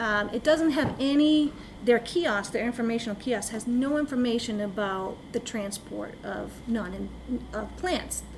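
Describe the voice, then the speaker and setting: A woman at a fairly high pitch, ordinary pitch variation, fairly slow pace, and audible room echo. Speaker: lake management consultant. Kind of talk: presentation to town council. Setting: town council meeting.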